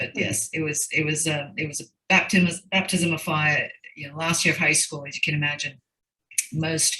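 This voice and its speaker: Her pitch is very deep and low, and her intonation fairly even. The woman talks at a moderate pace. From Fiji. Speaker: banker, school alumna. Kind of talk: interview. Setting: video call. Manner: repetitive, halting.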